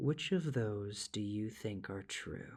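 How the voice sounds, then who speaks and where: A man puts on a soft-spoken character voice, fairly low in pitch with ordinary variation, at a fairly slow pace. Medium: read story. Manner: soft, calm, unhurried.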